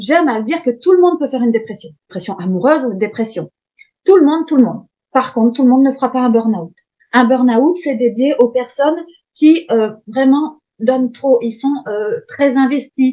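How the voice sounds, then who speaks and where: A woman with lively intonation talks at a moderate pace and a high pitch. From Hauts-de-France, northern France. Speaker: coach. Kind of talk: masterclass lecture. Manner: dynamic; hesitant, many fillers.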